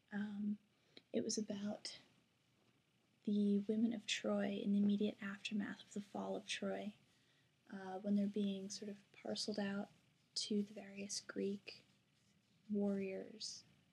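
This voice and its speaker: A woman speaks quietly at a medium pitch and a fairly slow pace, her somewhat breathy voice dark and mellow in tone, with monotone, flat intonation, big swings in loudness and long, frequent pauses. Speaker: college student vlogger. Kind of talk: casual vlog. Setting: at home at night. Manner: hesitant with fillers.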